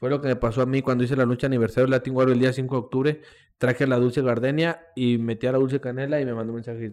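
At a very fast pace and in a flat monotone, a man speaks at medium pitch on a very clean recording with a silent background. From Mexico, Coahuila (Monclova). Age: 20s. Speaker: professional wrestler. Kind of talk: casual chat.

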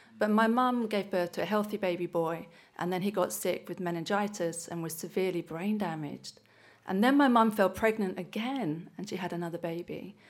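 A woman with an English accent speaks at a fairly quick pace and medium pitch, with ordinary pitch variation. The recording is very clean, with a silent background. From England. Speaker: church member sharing testimony. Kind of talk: testimony. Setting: church service.

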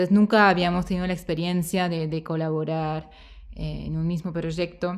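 This woman talks in a fairly low pitch with monotone, flat intonation. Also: moderate pace, very clean recording, silent background. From Switzerland. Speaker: film director. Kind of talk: festival Q&A interview.

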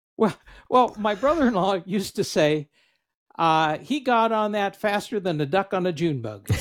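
A man talks at a moderate pace in a high voice. His intonation is lively. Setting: video call with headset.

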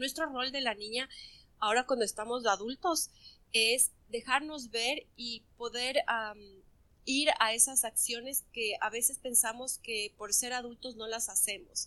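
A woman speaks at a fairly slow pace with fairly even intonation. Her tone is bright and sharp, and her pitch is high. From Ecuador. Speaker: clinical psychologist. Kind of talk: interview.

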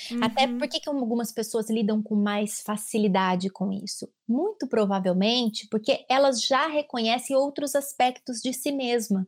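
A woman speaks at a moderate pace with hardly any pauses, using an unremarkable speaking voice. Her pitch is fairly high, with ordinary pitch variation. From Brazil, São Paulo state. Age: 30s. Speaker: clinical psychologist. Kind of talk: casual chat.

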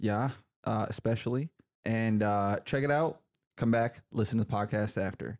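Heard in a dry, close sound with no echo, a man with an unremarkable speaking voice talks at a moderate pace with ordinary pitch variation. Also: medium pitch for a man. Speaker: film podcast co-host. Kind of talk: casual chat.

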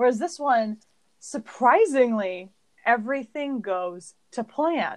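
A woman with an American accent speaks in a plain, everyday voice. Her pitch is fairly high and her intonation lively. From California. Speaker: podcast co-host. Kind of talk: casual chat.

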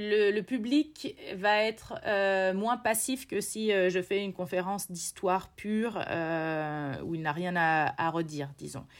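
A woman talks at a very slow pace with lively intonation. The recording is very clean, and the background is silent. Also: medium pitch for a woman, hardly any pauses. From central France, Berry (Bourges). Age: 30s. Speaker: polar expedition guide and lecturer. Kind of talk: interview. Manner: hesitant, many fillers.

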